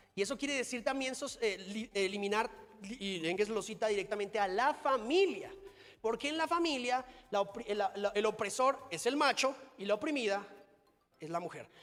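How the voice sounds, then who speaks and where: The man's high-pitched voice has an animated tone and lively intonation. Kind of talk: conference talk. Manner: fast.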